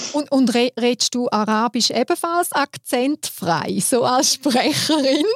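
Over noticeable background noise, a woman with a Swiss accent speaks very slowly at a high pitch, with lively intonation, very even loudness, and hardly any pauses. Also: dry, close sound with no echo. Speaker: podcast host. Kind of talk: casual interview.

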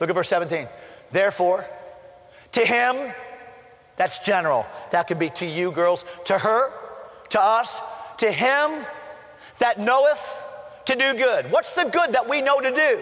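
With noticeable background noise, a man with an extremely high pitch talks at a fairly slow pace, with long, frequent pauses, very wide pitch swings and very even loudness. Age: 50s. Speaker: pastor. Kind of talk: sermon. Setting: college chapel service.

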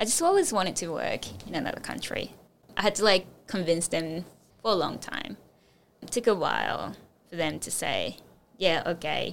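Long, frequent pauses break up a woman's speech at a moderate pace. Her loudness swings widely. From Japan. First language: Japanese. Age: 20s. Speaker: recent design graduate. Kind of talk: interview.

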